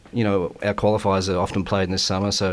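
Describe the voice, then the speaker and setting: Very deep and low in pitch, a man talks at a fairly quick pace with an Australian accent. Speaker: bowls player and guest commentator. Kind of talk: live sports commentary. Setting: commentary box. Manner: hesitant, many fillers.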